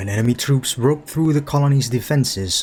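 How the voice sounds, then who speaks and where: Music plays behind a man as he speaks. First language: not English. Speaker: gaming youtuber. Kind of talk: casual chat; reading aloud. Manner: halting; narration style, imitating voice actor.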